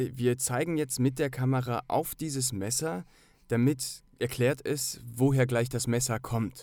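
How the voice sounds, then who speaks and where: On a very clean recording with a silent background, a man speaks very slowly in a dark, mellow tone at a medium pitch with fairly even intonation. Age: 30s. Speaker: actor and filmmaker. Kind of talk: casual chat.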